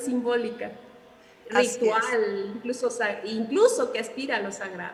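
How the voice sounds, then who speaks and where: A woman speaks with a high pitch at a fairly slow pace. Noticeable background noise is present. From Mexico. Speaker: author being interviewed. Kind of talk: literary interview answer.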